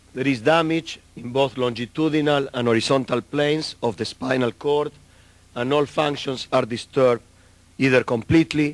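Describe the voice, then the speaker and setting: This man speaks with a South American Spanish accent at a moderate pace. His pitch is medium, with ordinary variation. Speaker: neurologist. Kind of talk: lecture. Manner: halting.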